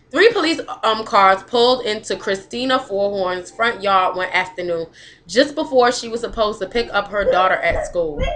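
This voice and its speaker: Over noticeable background noise, a woman talks at a moderate pace with a fairly high pitch and lively intonation. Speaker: web series host. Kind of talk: reading aloud. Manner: slurred speech.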